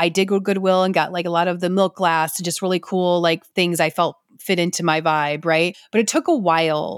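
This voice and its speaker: With an American accent and a plain, everyday voice, a woman talks at a fairly quick pace with hardly any pauses, a fairly low pitch, fairly even intonation and very even loudness, in a dry, close sound with no echo. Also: very clean recording, silent background. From US Midwest, Detroit area, Michigan. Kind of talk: casual monologue. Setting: at home on a couch.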